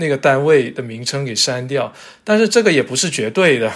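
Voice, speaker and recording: A man with a normal speaking voice, fairly high pitch and lively intonation. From China, Zhanjiang, western Guangdong. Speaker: character encoding standards expert, publisher. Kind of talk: casual interview chat. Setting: remote virtual studio.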